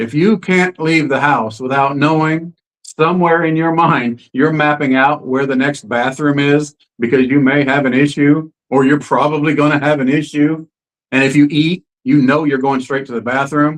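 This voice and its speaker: A man with a plain, everyday voice speaks at a moderate pace and a fairly high pitch, with fairly even intonation. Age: 60s. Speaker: interview guest sharing health story. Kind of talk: testimony. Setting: live stream.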